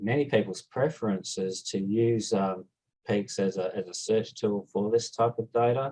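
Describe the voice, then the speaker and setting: Talking at a moderate pace, a man with an Australian accent has a fairly low pitch. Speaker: scientist, proteomics researcher. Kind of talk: conference talk.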